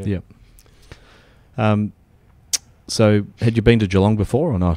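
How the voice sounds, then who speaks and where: Fairly slow and fairly low, a man speaks with an Australian accent in a dark, mellow tone. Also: ordinary pitch variation. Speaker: podcast host, managing director. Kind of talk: podcast host interviewing.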